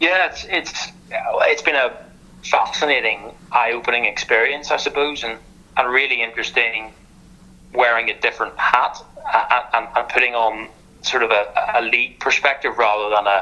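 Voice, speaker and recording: Noticeable background noise accompanies a man speaking at a moderate speed. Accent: Northern Irish. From Northern Ireland. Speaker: sports lawyer. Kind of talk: podcast interview. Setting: podcast. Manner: halting, many repetitions.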